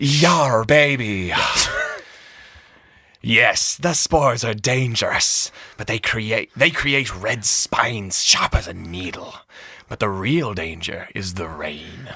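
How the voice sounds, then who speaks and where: A man puts on a raspy character voice at a medium pitch. He speaks at a fairly slow pace with long, frequent pauses. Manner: swaggering, playful.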